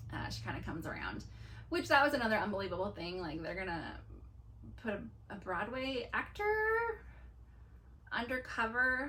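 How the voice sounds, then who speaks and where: A woman talks at a moderate pace. Her pauses are long and frequent. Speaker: movie reviewer. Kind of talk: casual talk to camera. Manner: enthusiastic.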